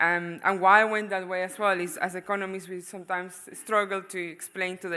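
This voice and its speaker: A woman speaks with a Venezuelan accent in a bright, sharp tone and monotone, flat intonation. The recording is very clean, with a silent background. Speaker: economist, panelist. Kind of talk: panel discussion presentation. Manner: hesitant, many fillers.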